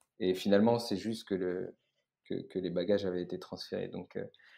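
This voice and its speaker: A man with a fairly low pitch speaks in a very clean recording with a silent background. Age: 20s. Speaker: startup co-founder. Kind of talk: casual interview. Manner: halting, many fillers and repetitions.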